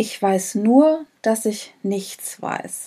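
A woman is speaking. Her tone is dark and mellow. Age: 40s. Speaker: leadership and personnel development manager. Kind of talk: casual interview.

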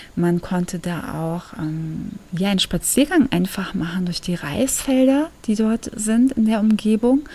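Speech moves at a very slow pace over noticeable background noise. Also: woman. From Germany. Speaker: podcast host. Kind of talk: casual monologue. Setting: at home.

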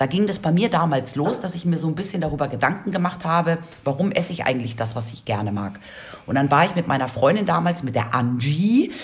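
Over noticeable background noise, a woman speaks at a very deep, low pitch with very wide pitch swings. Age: 40s. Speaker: radio podcast host. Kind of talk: casual chat.

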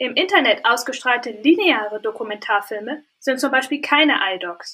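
Her intonation is lively, and her pitch is high. The woman keeps a moderate pace. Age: 20s. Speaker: media scholar and author. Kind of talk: interview. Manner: formal.

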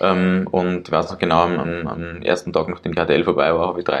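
A man is speaking. His pace is fairly quick. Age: 20s. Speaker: entrepreneur. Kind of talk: interview. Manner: halting, many fillers.

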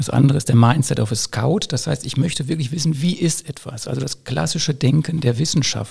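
An unremarkable speaking voice, a man's fairly high one, moves at a fairly quick pace with ordinary pitch variation and hardly any pauses. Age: 50s. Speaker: school principal. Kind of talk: casual chat.

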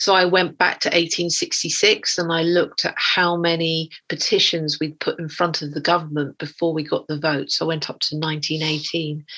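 In an English accent, a woman talks in a monotone, flat way, her fairly low pitch carrying a bright, sharp tone. The background is quiet. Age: 50s. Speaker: artist. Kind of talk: interview.

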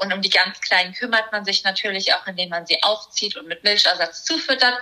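Fairly quick speech from a woman, noticeable noise behind her. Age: 20s. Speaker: primatologist and animal welfare activist. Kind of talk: casual interview.

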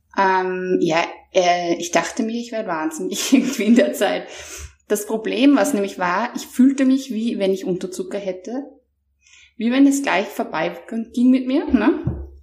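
A woman speaks at a fairly slow pace with lively intonation, in a normal speaking voice. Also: fairly high pitch for a woman. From Austria. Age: 30s. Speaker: mental trainer. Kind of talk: interview, personal testimony.

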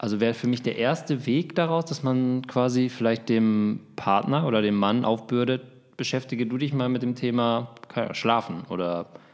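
A man with a medium-pitched voice speaks at a moderate pace, leaving long, frequent pauses. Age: 30s. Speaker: podcast co-host, football journalist and father. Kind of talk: casual chat. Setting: recording at home.

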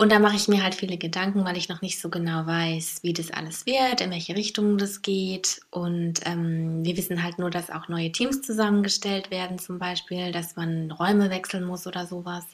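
Hardly pausing, a woman talks at a moderate pace and a fairly low pitch, with fairly even intonation. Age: 30s. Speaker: podcast co-host. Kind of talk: casual chat.

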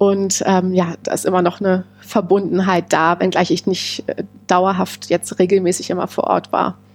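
The voice keeps a monotone, flat intonation at a moderate pace. It has hardly any pauses. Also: woman, medium pitch for a woman. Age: 30s. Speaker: amateur tennis player and small business founder. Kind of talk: casual interview. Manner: hesitant, many filler sounds.

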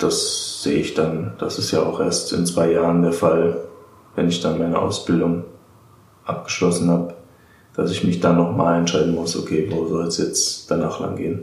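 Noticeable background noise surrounds this recording, along with audible room echo. A man speaks at a moderate pace. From Germany, Darmstadt (Hesse). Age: 20s. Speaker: apprentice, former archaeology student. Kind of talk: interview.

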